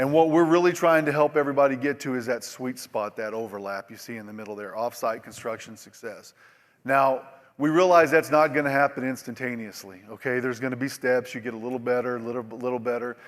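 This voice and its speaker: With an American accent, a man talks at a very fast pace in a medium pitch, with ordinary pitch variation and big swings in loudness. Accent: Oklahoma accent (self-described, joking). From Oklahoma. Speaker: industry presenter. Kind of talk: conference presentation. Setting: stage with audience. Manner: casual, repetitive with false starts.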